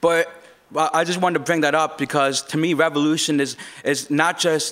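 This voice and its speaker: A normal speaking voice from a man, fairly high in pitch, fairly quick, with very even loudness and fairly even intonation. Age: 20s. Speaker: open mic speaker. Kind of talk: open mic speech.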